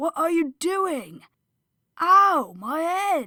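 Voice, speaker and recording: A woman's put-on character voice, raised and projected, at an extremely high pitch. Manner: startled, in pain.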